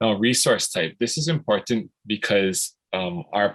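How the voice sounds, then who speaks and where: A man with an ordinary speaking voice, medium pitch and lively intonation, at a moderate pace, in a dry, close sound with no echo. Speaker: program facilitator. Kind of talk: tutorial.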